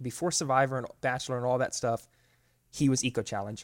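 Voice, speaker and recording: In an American accent, a man talks at a very fast pace with a medium pitch and ordinary pitch variation. The recording is very clean, with a silent background. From Florida. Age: 20s. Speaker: ultra runner and adventure racer. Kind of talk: casual interview.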